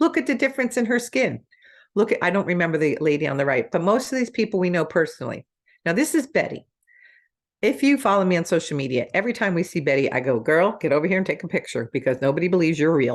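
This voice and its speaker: A woman with an American accent talks at a very fast pace in a fairly low voice, her tone animated and her pitch swinging very widely. Her loudness stays very even against a quiet background. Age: 60s. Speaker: network marketing distributor. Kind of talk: sales pitch.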